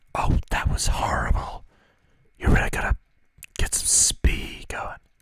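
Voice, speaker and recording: Against a quiet background, a soft-spoken man whispers at a fairly slow pace, the sound dry with no echo. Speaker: gaming video host. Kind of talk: let's play commentary, ASMR style. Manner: soft close-mic ASMR whisper. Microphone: studio mic.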